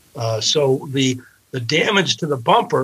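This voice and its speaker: Lively intonation marks a man's somewhat breathy voice. He talks at a fairly slow pace. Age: 60s. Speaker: personal injury lawyer. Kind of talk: interview.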